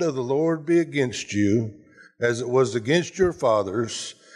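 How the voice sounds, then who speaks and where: Against a quiet background, the speaker keeps a moderate pace with ordinary pitch variation. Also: man. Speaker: pastor preaching. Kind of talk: sermon. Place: church.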